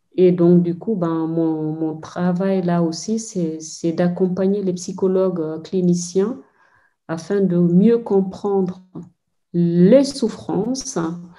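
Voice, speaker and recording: A woman speaks at a very slow pace in a Senegalese accent. Her medium-pitched voice has a dark, mellow tone. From Guinea, Fouta Djallon (Mamou). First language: Pulaar (speaking French). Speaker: anthropologist. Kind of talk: interview. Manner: hesitant, many fillers.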